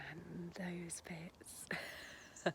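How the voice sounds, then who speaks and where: A woman whispers with an English accent. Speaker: vlogger, home-educating mum. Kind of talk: casual vlog talk to camera. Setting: garden outdoors. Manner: quiet, kept low.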